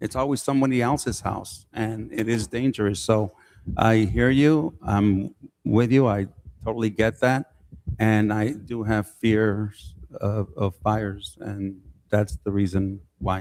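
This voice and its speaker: With a plain, everyday voice, a man speaks fairly slowly in a fairly low pitch and ordinary pitch variation. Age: 60s. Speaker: city council member. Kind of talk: public meeting remarks.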